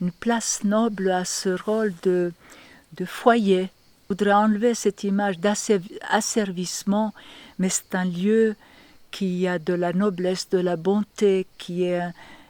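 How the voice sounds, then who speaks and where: Her tone dark and mellow, a woman talks at a very slow pace. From Yugoslavia. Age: 70s. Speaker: women's workshop leader. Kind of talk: documentary interview answer. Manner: hesitant, emotional.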